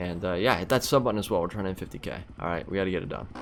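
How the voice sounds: Speaking at a very fast pace, a man has a fairly low pitch, ordinary pitch variation and a fairly bright tone.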